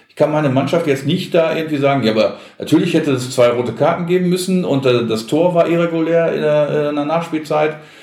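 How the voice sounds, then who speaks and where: In a room with audible echo, a man speaks fairly quickly at a fairly high pitch, with ordinary pitch variation, big swings in loudness, and hardly any pauses. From Gelsenkirchen, Ruhr area, Germany. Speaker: sports TV presenter. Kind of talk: casual chat.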